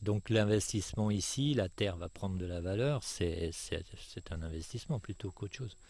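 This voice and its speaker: The speaker sounds somewhat breathy at a moderate pace, with ordinary pitch variation. The recording is very clean, with a silent background. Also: man, fairly low pitch for a man. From France, Savoie. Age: 60s. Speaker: retired landowner. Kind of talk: interview.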